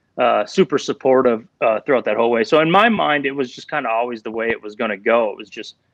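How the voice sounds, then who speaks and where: Talking very fast with an Upper Midwest accent, a man shows ordinary pitch variation. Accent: Upper Midwest American. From Minnesota. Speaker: professional angler and fishing guide. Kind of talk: casual interview.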